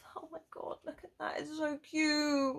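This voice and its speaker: A woman with a British accent and an extremely high pitch. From UK. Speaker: YouTuber doing unboxing videos; unboxing vlogger. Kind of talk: casual unboxing vlog. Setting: at home at her desk. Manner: animated. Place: home room. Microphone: phone near.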